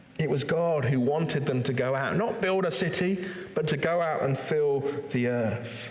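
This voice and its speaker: Noticeable background noise behind a man's fairly high voice, lively in intonation and fairly slow in pace. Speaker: church preacher. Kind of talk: sermon delivered to a congregation.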